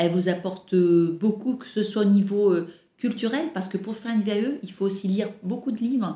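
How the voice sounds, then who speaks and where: This woman keeps a moderate tempo at a medium pitch, and her pitch variation is ordinary. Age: 50s. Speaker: airline employee. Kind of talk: interview. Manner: hesitant, many fillers.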